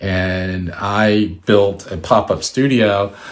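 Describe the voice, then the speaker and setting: With an American accent, a man talks at a fairly low pitch and fairly even intonation. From Washington, D.C., US. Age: 60s. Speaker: artist and photographer. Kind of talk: presentation. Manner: halting, many fillers.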